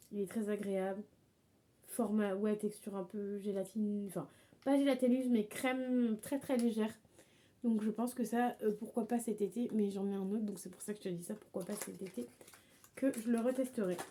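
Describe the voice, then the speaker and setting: Her tone dark and mellow, a woman speaks at a moderate pace with fairly even intonation and long, frequent pauses. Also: fairly high pitch for a woman. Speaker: beauty vlogger. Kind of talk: product review vlog. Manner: halting.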